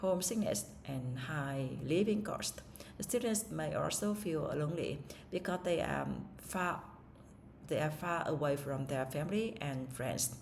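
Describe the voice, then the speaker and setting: Heard with audible room echo, a speaker with a Vietnamese accent uses lively intonation at a fairly slow pace. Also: woman, very deep, low pitch for a woman. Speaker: English learner. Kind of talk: speaking test practice. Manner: halting, with fillers and self-corrections.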